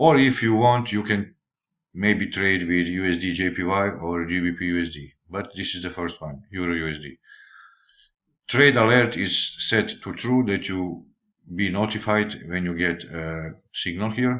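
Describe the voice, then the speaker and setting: A man with a non-native accent speaks at a fairly slow pace in a very deep, low pitch. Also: ordinary pitch variation, quiet background. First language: not English. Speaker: forex trader. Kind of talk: tutorial. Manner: halting.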